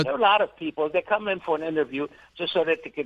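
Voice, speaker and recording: A man's very rapid, fairly high-pitched voice with lively intonation. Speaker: guest, market and economy commentator. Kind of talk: radio interview answer.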